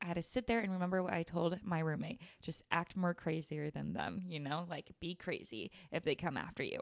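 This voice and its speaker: Talking at a fairly quick pace, a woman has an unremarkable speaking voice with fairly low pitch and ordinary pitch variation, the sound dry and close with no echo. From Utah. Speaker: podcast host. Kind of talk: casual chat.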